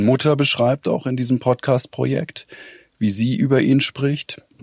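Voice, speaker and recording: This man talks at a moderate pace with a medium pitch, and the sound is dry and close with no echo. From Weinheim, Baden-Württemberg, Germany. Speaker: audio journalist. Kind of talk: interview conversation. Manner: hesitant, many filler sounds.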